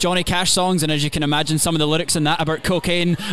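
Over noticeable background noise, a man speaks in a Scottish accent at a fairly high pitch with fairly even intonation. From Scotland. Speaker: country singer. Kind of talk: casual interview.

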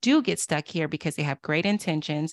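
A woman with an American accent and a plain, everyday voice speaks at a fairly low pitch with ordinary pitch variation, on a very clean recording with a silent background and a dry, close sound with no echo. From US South, Durham, North Carolina. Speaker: author and diversity consultant. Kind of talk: interview.

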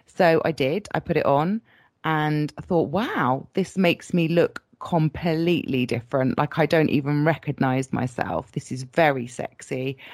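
With a British accent, a woman speaks at a fairly slow pace in a very deep, low pitch, with ordinary pitch variation. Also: dry, close sound with no echo. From Britain. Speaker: latex model. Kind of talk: interview.

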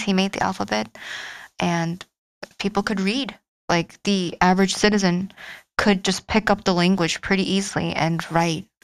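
This woman's voice sits at a medium pitch with fairly even intonation. She keeps a moderate pace. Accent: Korean. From South Korea. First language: Korean. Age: 20s. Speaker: PhD student. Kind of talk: casual interview.

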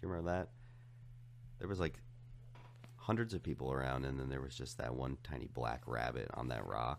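A man's very deep, low voice carries vocal fry, moving at a fairly quick pace with ordinary pitch variation and long, frequent pauses. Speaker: podcast guest. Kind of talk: casual chat.

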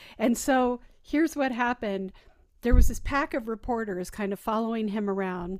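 A woman has an unremarkable speaking voice at a moderate pace. The recording is very clean with a silent background. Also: fairly high pitch for a woman, ordinary pitch variation. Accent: American. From Arizona. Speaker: podcast host, playwright. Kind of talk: casual chat.

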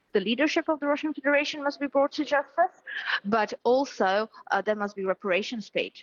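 Speaking with a Ukrainian accent, a woman moves at a fairly quick pace with lively intonation. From Ukraine. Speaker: politician. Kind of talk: news interview. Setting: remote interview from Kyiv.

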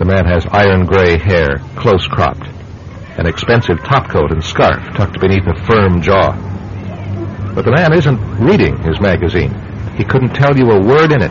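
Over noticeable background noise, a man with a very deep, low pitch speaks at a moderate pace and a very even loudness. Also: lively intonation. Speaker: radio drama narrator and producer. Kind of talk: old-time radio drama narration, scripted announcer. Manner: dramatic, measured, ominous, smooth narrator's delivery.

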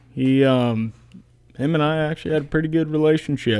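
A man talks with fairly even intonation. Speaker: former college football player. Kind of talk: casual chat.

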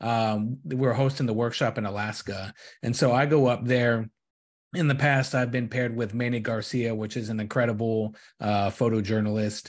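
Recorded very clean against a silent background, a man with an ordinary speaking voice talks at a medium pitch and a moderate pace with fairly even intonation. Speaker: podcast host. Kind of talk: casual interview.

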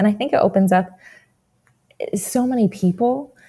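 With an American accent, a woman speaks at a fairly quick pace in a somewhat breathy voice with a dark, mellow tone and ordinary pitch variation. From New Jersey. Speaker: physician assistant student. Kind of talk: interview.

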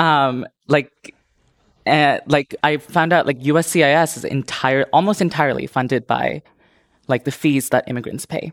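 In a very clean recording with a silent background and a dry, close sound with no echo, a woman with a very deep, low pitch speaks at a moderate pace and fairly even intonation. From India and Indonesia. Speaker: businesswoman and marketer. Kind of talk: panel discussion.

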